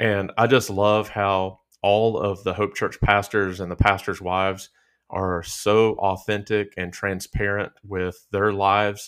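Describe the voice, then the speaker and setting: At a fairly slow pace, someone with a Southern US accent speaks in monotone, flat intonation on a very clean recording with a silent background. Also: man. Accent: Southern country. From southern Virginia. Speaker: pastor. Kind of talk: casual chat.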